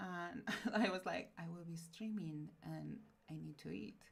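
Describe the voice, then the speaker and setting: There is audible room echo around a woman with a Spanish accent. Her pitch is fairly low. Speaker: streamer. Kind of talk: casual chat. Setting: live stream.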